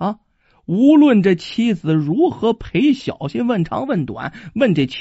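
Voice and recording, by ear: Someone is reading aloud in a natural voice, with a quiet background.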